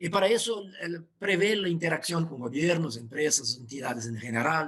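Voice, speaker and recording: In a Portuguese accent, a man talks at a moderate pace with a fairly high pitch. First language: Portuguese (speaking Spanish). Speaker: professor. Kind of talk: webinar presentation. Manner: halting.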